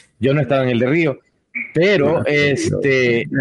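A man talks with a plain, everyday voice. His pitch is fairly high, with ordinary pitch variation. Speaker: podcast host. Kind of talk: casual chat.

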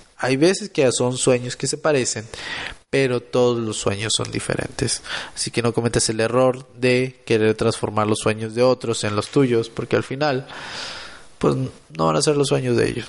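Moderate pace and ordinary pitch variation from a man with a plain, everyday voice at a medium pitch. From Mexico, Monterrey, Nuevo León. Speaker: podcaster and motivational content creator. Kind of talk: motivational solo podcast monologue.

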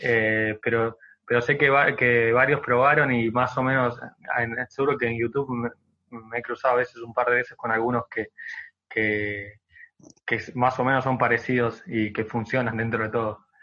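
Pitched at a medium level, this man's delivery stays monotone, with flat intonation. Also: moderate pace. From Argentina, Buenos Aires province. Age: 20s. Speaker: social media content creator. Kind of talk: interview.

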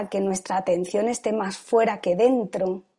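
A woman's dark, mellow tone with ordinary pitch variation, over a quiet background. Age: 50s. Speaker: yoga and meditation teacher. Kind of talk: testimony. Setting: video call.

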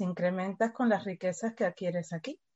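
A woman's medium-pitched, somewhat breathy voice with a Uruguayan accent and ordinary pitch variation. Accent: noticeable Uruguayan. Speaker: education company staff member. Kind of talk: interview.

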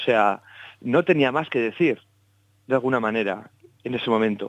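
A man at a moderate pace, with ordinary pitch variation, against a quiet background. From Basque Country, Spain. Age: 30s. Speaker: jazz double bassist. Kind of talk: interview.

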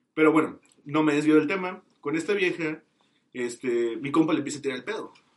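At a fairly high pitch with ordinary variation, a man talks at a fairly quick pace in an unremarkable speaking voice. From Mexico, Tamaulipas. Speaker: podcast guest. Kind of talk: casual chat.

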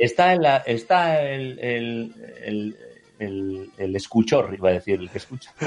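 A man talks at a very slow pace. His medium-pitched voice carries lively intonation. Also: big swings in loudness. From Bilbao, Basque Country, Spain. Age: 30s. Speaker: writer and painter. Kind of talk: casual chat.

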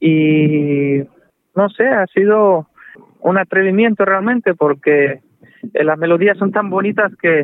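A man speaks with ordinary pitch variation. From Cuba (Manzanillo), later Russia. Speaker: jazz saxophonist. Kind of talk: interview. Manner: halting, many fillers.

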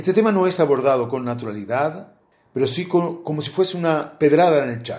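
With lively intonation, an unremarkable speaking voice goes at a fairly quick pace. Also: man, fairly high pitch for a man. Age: 50s. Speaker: interviewee. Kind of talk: testimony.

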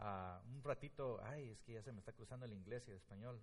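Somewhat breathy speech comes at a moderate pace with ordinary pitch variation and audible room echo. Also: man. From Guatemala. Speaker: pastor. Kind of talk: sermon. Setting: church.

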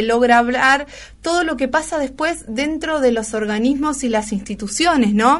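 Over a quiet background, a woman with a high pitch speaks at a fairly slow pace with ordinary pitch variation. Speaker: radio host. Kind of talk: radio interview and news talk.

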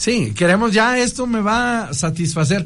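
Audible room echo surrounds a high-pitched man talking fairly slowly with lively intonation. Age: 40s. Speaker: priest. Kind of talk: radio interview talk. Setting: radio studio. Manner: halting, frequent repetitions.

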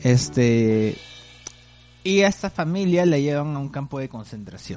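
This man's pitch is fairly high. His intonation is lively. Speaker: podcast host. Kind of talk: casual chat about films.

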